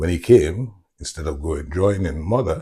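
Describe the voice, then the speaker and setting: A man with a very deep, low pitch and a dark, mellow, somewhat breathy tone speaks at a moderate pace with lively intonation. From Carriacou, then Yorkshire (Huddersfield) from age 10. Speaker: interviewee sharing life story. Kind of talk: oral history interview. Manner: conversational, repetitive fillers.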